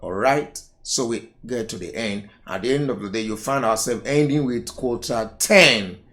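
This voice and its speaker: Medium-pitched male speech, ordinary in its pitch movement, with audible echo from the room. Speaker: accounting tutor. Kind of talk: lecture.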